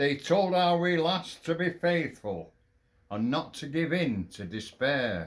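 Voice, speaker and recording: A man talks in a Lancashire accent. His fairly high voice moves at a very slow pace. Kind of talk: poetry reading.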